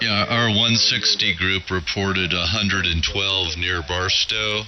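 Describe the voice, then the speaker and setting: A man speaks at a fairly slow pace in a very deep, low voice with fairly even intonation, over noticeable background noise. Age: 70s. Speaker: amateur radio operator. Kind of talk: casual chat.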